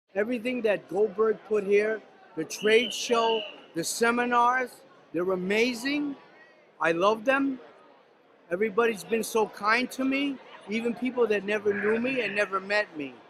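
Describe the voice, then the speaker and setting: Over noticeable background noise, a man with a high voice and ordinary pitch variation speaks with long, frequent pauses. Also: moderate pace. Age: 60s. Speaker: martial artist attendee. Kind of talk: event interview.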